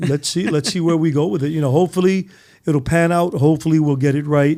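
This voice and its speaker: Very fast delivery from a man with a fairly high pitch and a dark, mellow tone, fairly even intonation and very even loudness. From New York City, Lower East Side. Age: 60s. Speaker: podcast host. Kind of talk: casual chat. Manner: halting, repeats words.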